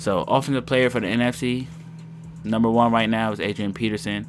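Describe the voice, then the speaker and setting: A fairly low male voice at a moderate pace. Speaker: gaming YouTuber. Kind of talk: gameplay commentary.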